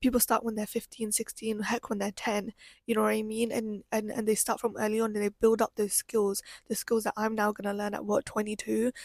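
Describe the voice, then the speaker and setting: A woman speaks in a British accent with an animated tone at a fairly quick pace. The sound is dry and close, with no echo. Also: fairly high pitch for a woman. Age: 20s. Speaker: podcaster. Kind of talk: personal monologue. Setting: live stream from bedroom. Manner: fast.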